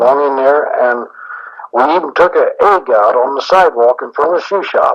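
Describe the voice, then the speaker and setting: This man has an ordinary speaking voice and an American accent. His pitch is fairly high and his pace moderate. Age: 60s. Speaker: shoe store owner. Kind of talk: interview answer. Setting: cassette tape recording.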